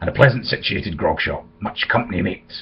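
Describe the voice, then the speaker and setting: A man's raspy, put-on character voice at a fairly quick pace. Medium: read story. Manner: rough, commanding.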